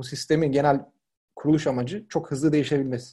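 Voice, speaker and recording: This man's voice is somewhat breathy, with a dark, mellow tone, a fairly high pitch and fairly even intonation. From Turkey, Izmir (Karşıyaka). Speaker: product design lead. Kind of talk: casual interview.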